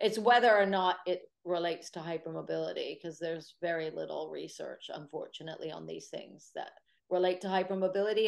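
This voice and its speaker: Talking at a fairly quick pace with an American accent, a woman shows big swings in loudness. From United States. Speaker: Pilates teacher and sports therapist. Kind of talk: webinar Q&A.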